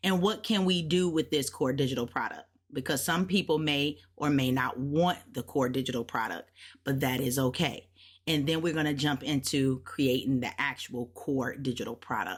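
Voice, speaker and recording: A woman's very deep, low voice at a moderate pace, animated in tone, with ordinary pitch variation. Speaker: digital product creator and online business mentor. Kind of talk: tutorial.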